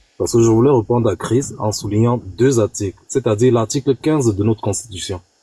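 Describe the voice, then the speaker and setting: The voice is somewhat breathy, with a dark, mellow tone and ordinary pitch variation at a fairly quick pace. The sound is dry and close with no echo. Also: man, medium pitch for a man. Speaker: political debate participant. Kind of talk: online panel debate.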